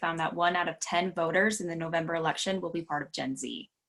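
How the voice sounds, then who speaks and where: A woman's fairly low voice at a fairly quick pace, an unremarkable speaking voice. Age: 20s. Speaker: voter registration trainer. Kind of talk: training presentation. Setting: video call.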